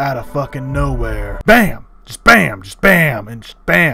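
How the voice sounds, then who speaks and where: A raspy put-on character voice from a man, with faint music in the background. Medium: dub. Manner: excitable, exaggerated.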